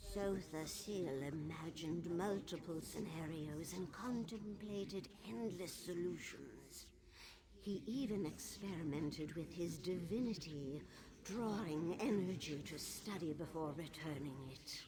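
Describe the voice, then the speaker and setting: Over clear background noise, someone uses a put-on character voice at a middle pitch and a fairly slow pace. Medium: video game. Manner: regal, aloof.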